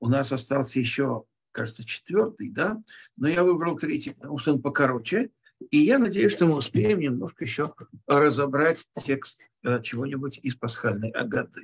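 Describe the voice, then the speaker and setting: Somewhat breathy, a man speaks at a moderate pace over a quiet background. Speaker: teacher leading an online text class. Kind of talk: lecture.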